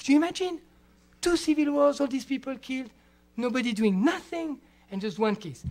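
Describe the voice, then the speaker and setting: The speech moves at a fairly quick pace. Long pauses come often. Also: man, extremely high pitch for a man. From Switzerland. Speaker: international criminal lawyer. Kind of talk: lecture. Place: classroom. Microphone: podium.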